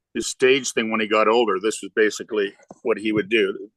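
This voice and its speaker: Speaking with a Canadian accent, a man of medium pitch keeps a moderate pace and a monotone, flat intonation, in a dry, close sound with no echo. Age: 50s. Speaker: singer-songwriter. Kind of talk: casual chat.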